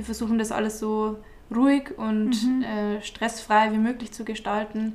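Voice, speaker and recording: A woman's fairly high voice, fairly slow, with monotone, flat intonation. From Bavaria, Altmühltal near Eichstätt. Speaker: shepherd and agricultural graduate. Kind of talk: casual interview.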